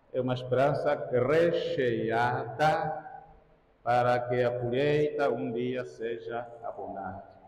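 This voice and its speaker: In a room with audible echo, this man speaks very slowly. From Angola. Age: 60s. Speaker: priest. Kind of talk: sermon. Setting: church.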